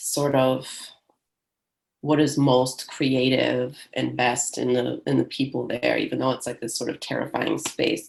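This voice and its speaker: A woman with a Michigan accent at a fairly slow pace. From Michigan, US. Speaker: poet. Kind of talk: panel discussion. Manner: halting, many fillers.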